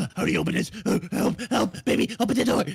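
Putting on a character voice, a man speaks fairly quickly in a high pitch. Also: ordinary pitch variation. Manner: urgent, pleading.

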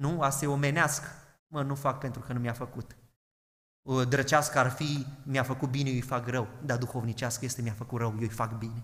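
This man talks at a fairly quick pace with fairly even intonation and a medium pitch. Audible room echo surrounds his voice. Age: 20s. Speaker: pastor. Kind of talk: sermon.

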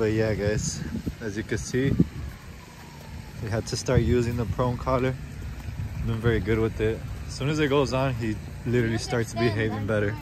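A man speaks at a moderate pace, with long, frequent pauses. The sound is dry with no echo, over noticeable background noise. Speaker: dog owner vlogger. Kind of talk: casual vlog chat. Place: street. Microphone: phone near.

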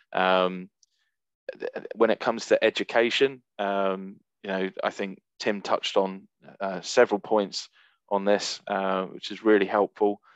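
A man talks in a fairly low, monotone, flat voice. The sound is dry with no echo. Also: fairly slow pace, quiet background. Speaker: recruiter; presenter. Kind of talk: webinar presentation. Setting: video call. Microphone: video call.

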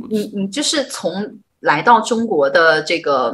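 A woman's fairly high voice, bright and sharp in tone, with very wide pitch swings and vocal fry. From northern China. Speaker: livestream host. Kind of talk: livestream interview. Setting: livestream. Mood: friendly, animated. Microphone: video call.

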